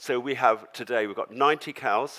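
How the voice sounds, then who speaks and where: He speaks with a southern English accent at a moderate pace. The man's pitch is medium and his intonation fairly even. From London, England. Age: 70s. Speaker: farmer. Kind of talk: talk to audience.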